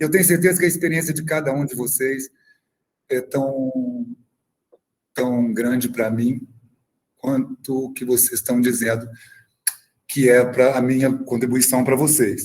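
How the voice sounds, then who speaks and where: A medium-pitched man at a very slow pace, with long, frequent pauses. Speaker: film club activist. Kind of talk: online talk. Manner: talkative.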